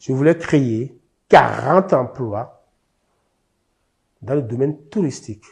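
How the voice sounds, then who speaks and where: The speaker goes at a very slow pace with lively intonation and a somewhat breathy quality, over a quiet background. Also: man. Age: 70s. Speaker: expropriated landowner. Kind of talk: testimony.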